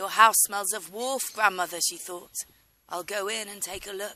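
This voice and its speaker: A raspy, put-on character voice with a fairly high pitch runs at a moderate pace. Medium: read story. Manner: brisk, matter-of-fact.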